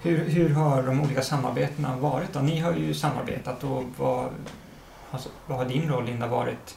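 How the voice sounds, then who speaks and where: Against noticeable background noise, a man speaks at a medium pitch and moderate pace. His pitch varies in an ordinary way. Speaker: curator and writer, interviewer. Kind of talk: interview. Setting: at the artist's home.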